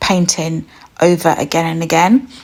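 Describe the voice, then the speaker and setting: Soft-spoken and calm, a woman with a British accent talks at a moderate pace and a fairly low pitch. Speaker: art teacher. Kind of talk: tutorial.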